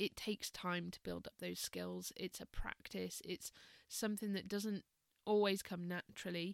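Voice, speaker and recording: At a moderate pace, a woman talks in a dry, close sound with no echo. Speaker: meditation and mindfulness teacher. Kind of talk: casual podcast monologue. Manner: calm; hesitant, many fillers.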